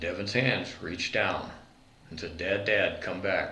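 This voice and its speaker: A man with an American accent speaks at a fairly slow pace, with noticeable background noise and audible room echo. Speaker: war veteran. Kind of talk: interview.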